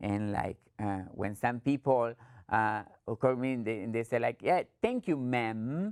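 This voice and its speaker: A woman talks with an Argentine accent. Her pace is fairly slow. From Argentina. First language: Spanish. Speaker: trainer. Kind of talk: training presentation.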